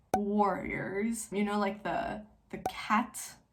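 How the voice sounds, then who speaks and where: A somewhat breathy woman's voice in a French accent, with audible room echo. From Switzerland, French-speaking. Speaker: book youtuber. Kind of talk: casual chat. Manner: casual, filler-heavy.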